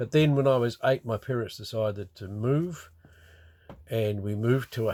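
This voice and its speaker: A man with a New Zealand accent, medium pitch and ordinary pitch variation, in a very clean recording with a silent background. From New Zealand, Wellington region. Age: 70s. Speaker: retiree recording a memoir. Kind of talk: personal memoir monologue. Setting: in a motorhome by a river. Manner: halting, many fillers.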